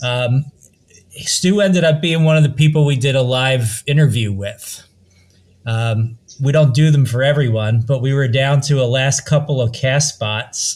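A somewhat breathy man talks at a fairly slow pace, his medium pitch showing ordinary variation. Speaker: podcast host. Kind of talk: casual podcast chat.

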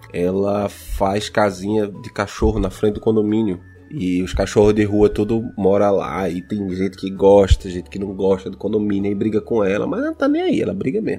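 A man with a fairly low pitch delivers monotone, flat intonation at a moderate pace while music plays in the background. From Brazil, Pernambuco (Recife). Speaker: podcaster. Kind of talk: casual chat. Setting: recording at home sharing one mic with partner.

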